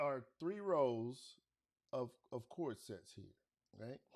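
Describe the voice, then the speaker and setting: Loud and very slow, a man with a fairly high voice speaks with very wide pitch swings. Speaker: beat maker streamer. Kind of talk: live stream tutorial. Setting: live stream at home. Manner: casual, halting.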